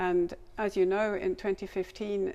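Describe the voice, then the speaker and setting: A woman with a German accent speaks at a medium pitch. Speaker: language learning materials developer. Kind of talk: scripted interview.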